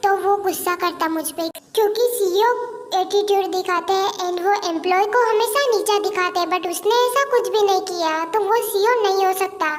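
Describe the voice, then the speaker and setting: A woman speaks in a put-on character voice at an extremely high pitch, her intonation fairly even. Clear background noise runs underneath. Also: moderate pace. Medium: read story. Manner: brisk, scolding.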